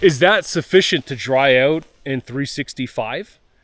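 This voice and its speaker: A man speaks at a fairly slow pace with a fairly high pitch and ordinary pitch variation, in a very clean recording with a silent background and a dry, close sound with no echo. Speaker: off-grid homesteader vlogger. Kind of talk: casual vlog talk outdoors. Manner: loud.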